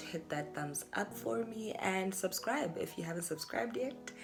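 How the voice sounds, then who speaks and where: A woman speaks quietly at a moderate pace. There is noticeable background noise behind her. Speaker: YouTuber. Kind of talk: casual vlog monologue. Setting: at home at night.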